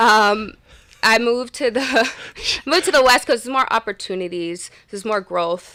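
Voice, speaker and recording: A woman with an American accent speaks at a fairly high pitch in a bright, sharp tone with lively intonation and long, frequent pauses. The recording is very clean, with a silent background. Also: moderate pace. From Massachusetts / Rhode Island, US. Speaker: fitness trainer and entrepreneur. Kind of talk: casual interview. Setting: studio.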